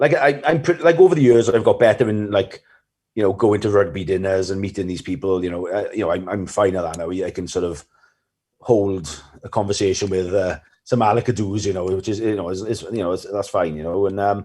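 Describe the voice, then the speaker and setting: In a South Wales Valleys accent, a man talks at a fairly quick pace. His voice is fairly low in pitch and dark and mellow, with ordinary pitch variation. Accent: Welsh Valleys. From Wales, the Valleys. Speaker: rugby coach. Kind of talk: podcast interview. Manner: fast; mumbling.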